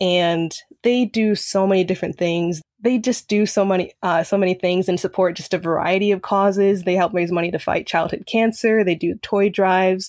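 A woman uses an ordinary speaking voice at medium pitch and a moderate pace, with fairly even intonation and very even loudness. The recording is very clean, with a silent background. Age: young. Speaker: college student. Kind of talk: interview.

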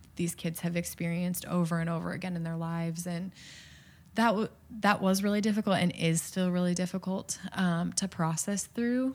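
Somewhat breathy and fairly low-pitched, a woman with an American accent talks at a moderate pace in a very clean recording with a silent background. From US Midwest. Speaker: middle school advisor, former missionary. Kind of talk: interview.

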